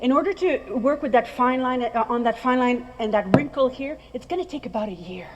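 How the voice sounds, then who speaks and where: In a French accent, the speaker talks at a fairly quick pace with hardly any pauses and lively intonation. Loudness swings widely, and background noise is noticeable. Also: woman, high pitch for a woman. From France. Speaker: skincare trainer. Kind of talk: presentation to audience. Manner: animated.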